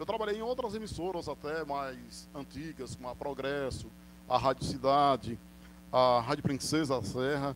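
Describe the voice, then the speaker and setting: With a plain, everyday voice, a man speaks at a moderate pace and a fairly high pitch, his intonation lively. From Northeast Brazil. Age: 40s. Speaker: radio announcer and sports commentator. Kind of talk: interview answer.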